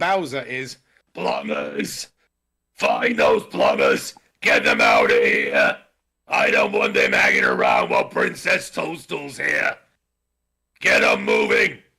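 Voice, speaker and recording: A raspy, put-on character voice moves at a fairly slow pace, broken by long, frequent pauses. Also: man. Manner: bossy, gruff.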